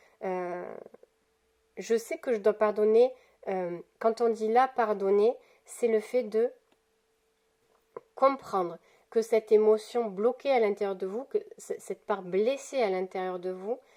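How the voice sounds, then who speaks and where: A woman speaks at a very slow pace, with long, frequent pauses, in a fairly high voice. Her tone is dark and mellow, and her pitch varies in an ordinary way. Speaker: tarot card reader. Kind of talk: weekly spiritual card guidance. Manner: halting, many fillers and repetitions.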